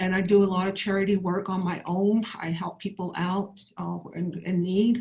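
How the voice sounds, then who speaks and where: Somewhat breathy and monotone with flat intonation, a woman speaks at a medium pitch and a moderate pace. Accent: American. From Navajo Nation, northern Arizona. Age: 60s. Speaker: political candidate. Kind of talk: candidate forum statement. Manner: halting, many fillers and restarts.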